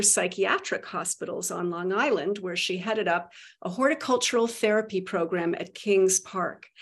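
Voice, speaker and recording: In an unremarkable speaking voice, a woman talks at a moderate pace with ordinary pitch variation and hardly any pauses. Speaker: podcast host. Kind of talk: interview discussion.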